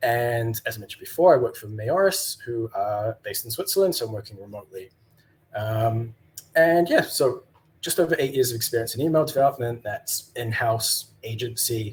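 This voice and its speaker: A man with a New Zealand accent, somewhat breathy, with big swings in loudness. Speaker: email developer. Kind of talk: conference talk. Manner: halting, many fillers.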